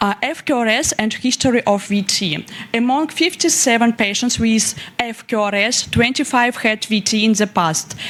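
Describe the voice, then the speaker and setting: With a Russian accent, a woman speaks in a fairly high voice at very even loudness over noticeable background noise. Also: ordinary pitch variation, moderate pace. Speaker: young researcher presenting. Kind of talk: conference presentation. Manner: halting.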